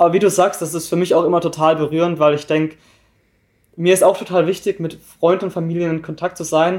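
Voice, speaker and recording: Very fast speech from a man, high-pitched and monotone with flat intonation, in a very clean recording with a silent background. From southern Germany, near Freiburg im Breisgau. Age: young. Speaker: volunteer at a seamen's club. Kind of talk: interview. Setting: recorded on site in a club.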